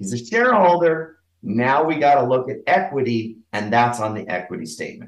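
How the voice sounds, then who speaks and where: Medium-pitched man's voice with very wide pitch swings. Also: moderate pace. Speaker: bookkeeper, business owner. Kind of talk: casual interview.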